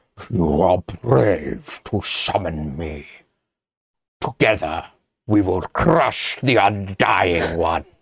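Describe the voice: A man puts on a character voice that rumbles at a very deep, low pitch. He speaks at a very slow pace.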